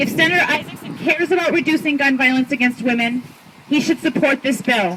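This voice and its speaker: The voice carries an American accent with ordinary pitch variation. Noticeable background noise is present. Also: woman. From Michigan. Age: 30s. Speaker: gun violence survivor and advocate. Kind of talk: rally speech. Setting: outdoors.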